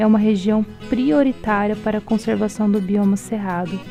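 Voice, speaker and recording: There is music in the background as a woman talks at a moderate pace. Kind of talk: documentary narration.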